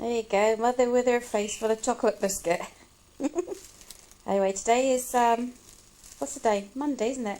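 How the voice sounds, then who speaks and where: Over noticeable background noise, a woman speaks at a fairly high pitch with fairly even intonation and long, frequent pauses. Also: moderate pace. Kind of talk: casual family interview questions.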